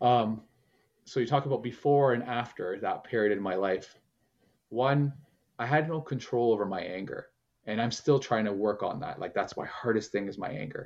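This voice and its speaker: This man has a normal speaking voice, talking at a moderate pace in a medium pitch with ordinary pitch variation. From Canada, Portuguese immigrant family. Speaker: men's transformational coach. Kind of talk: casual interview chat.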